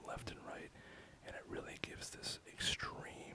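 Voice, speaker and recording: The words come out in a whisper at a moderate pace. Background noise is noticeable throughout. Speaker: harsh noise musician. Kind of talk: ASMR gear walkthrough. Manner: soft-spoken.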